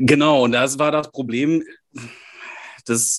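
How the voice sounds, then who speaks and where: A man talks with a northern German accent and fairly even intonation. The background is quiet. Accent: sounds northern German. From Germany, Münsterland. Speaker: podcast co-host, newsletter writer. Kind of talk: casual chat.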